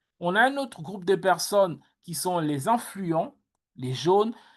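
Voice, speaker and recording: A woman at medium pitch with ordinary pitch variation against a quiet background. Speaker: workshop coach. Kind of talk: online workshop talk. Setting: video call. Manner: loud.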